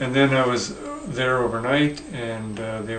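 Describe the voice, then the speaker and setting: Noticeable background noise is present. A man talks amid audible room echo. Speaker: stroke survivor. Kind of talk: personal video diary. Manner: halting, searching for words.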